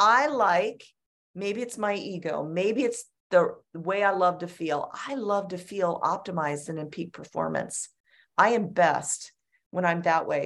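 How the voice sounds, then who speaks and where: The pace is fairly slow, with ordinary pitch variation. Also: woman, medium pitch for a woman. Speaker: orthopedic surgeon. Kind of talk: interview. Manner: animated.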